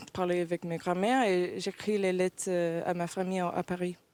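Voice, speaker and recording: A woman with an American accent and monotone, flat intonation. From United States. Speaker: professional basketball player. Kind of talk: interview. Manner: halting, many hesitations.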